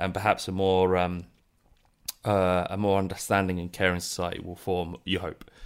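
Speaking with a British accent at a moderate pace, a man uses a very deep, low pitch in a flat monotone. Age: 30s. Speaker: podcast host. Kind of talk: interview. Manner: halting, many fillers and repetitions.

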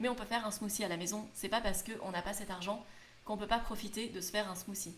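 A woman at a very fast pace, fairly even in intonation, with audible room echo and noticeable background noise. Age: 20s. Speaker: youtuber and podcaster on frugal living. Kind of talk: solo podcast monologue.

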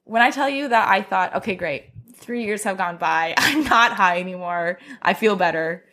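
On a very clean recording with a silent background, a woman speaks with lively intonation and a bright, sharp tone. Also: medium pitch for a woman, moderate pace. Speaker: podcast guest. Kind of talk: casual chat.

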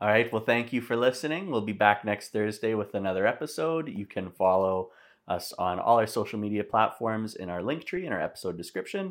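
A man with a normal speaking voice talks at a fairly quick pace with hardly any pauses. His pitch is fairly low, his intonation is lively, and the recording is very clean with a silent background. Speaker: podcast host. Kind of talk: casual chat.

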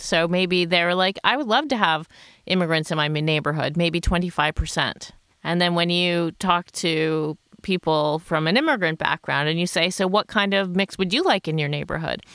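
On a very clean recording with a silent background, a woman with an American accent speaks in an unremarkable speaking voice, fairly low in pitch, with ordinary pitch variation at a moderate pace. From United States. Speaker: sociologist. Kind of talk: podcast panel discussion.

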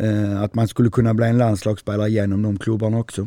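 Dry and close with no echo, the recording is very clean against a silent background. A man speaks in a Scanian accent with a dark, mellow tone. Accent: southern Swedish (Skåne). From southern Sweden, Skåne. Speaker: handball coach. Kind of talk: interview. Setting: in-person recording in Lund.

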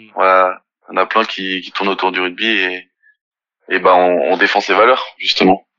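With a very deep, low pitch, a man speaks in a monotone, flat intonation at a moderate pace, taking long, frequent pauses amid big swings in loudness. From France, Nantes. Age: 20s. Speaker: professional rugby player. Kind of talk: interview. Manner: halting.

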